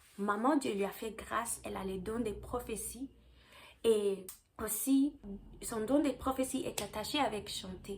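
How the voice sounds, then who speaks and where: At a very slow pace, a woman with a fairly high pitch speaks with vocal fry and ordinary pitch variation. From South Africa. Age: 20s. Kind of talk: testimony. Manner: halting, with fillers and restarts.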